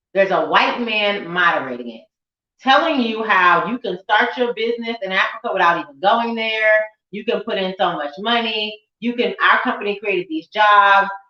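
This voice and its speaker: A woman's fairly high, an ordinary speaking voice, at a moderate pace, with ordinary pitch variation and big swings in loudness. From United States. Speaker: event host. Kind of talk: panel discussion.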